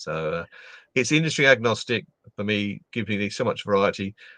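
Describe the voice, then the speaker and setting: This bright, sharp-toned speaker has an English accent and ordinary pitch variation. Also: man. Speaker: LinkedIn trainer and speaker. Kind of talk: casual interview chat. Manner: animated.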